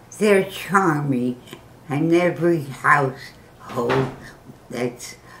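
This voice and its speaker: Over noticeable background noise, a woman with a very deep, low pitch talks at a very slow pace with ordinary pitch variation. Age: 90s. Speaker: grandmother giving advice. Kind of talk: casual interview answer.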